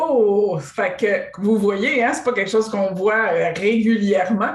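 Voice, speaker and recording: The speaker talks at a very slow pace in a Quebec accent. There is audible room echo. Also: woman, fairly high pitch for a woman, ordinary pitch variation. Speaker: interviewer host. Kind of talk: interview.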